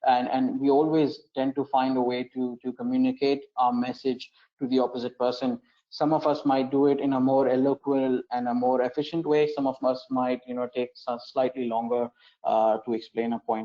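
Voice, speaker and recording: Speaking at a moderate pace, a man with a medium pitch uses a monotone, flat intonation. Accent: non-native. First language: not English. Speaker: education manager hosting an exam webinar. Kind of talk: webinar Q&A. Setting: online broadcast. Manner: hesitant, many fillers and repetitions.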